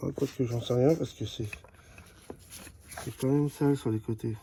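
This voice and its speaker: A man talks at a moderate pace. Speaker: amateur mechanic. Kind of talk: tutorial. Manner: halting.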